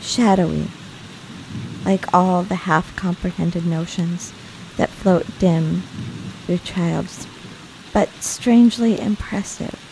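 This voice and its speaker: A woman's fairly low, calm, relaxed voice at a very slow pace, with fairly even intonation, long, frequent pauses and noticeable background noise. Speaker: audiobook narrator. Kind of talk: audiobook reading of classic novel.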